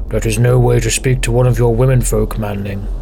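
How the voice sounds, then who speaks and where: Over clear background noise, a man puts on a character voice and talks at a fairly quick pace. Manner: disapproving, stern.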